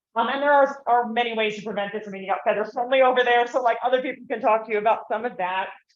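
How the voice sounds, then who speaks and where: A woman with a fairly high pitch talks at a very fast pace with hardly any pauses and fairly even intonation, and room echo is audible. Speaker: conference speaker, wildlife rehabilitator and bird bander. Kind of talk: conference talk. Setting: conference room, not using the microphone. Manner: loud. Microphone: no microphone.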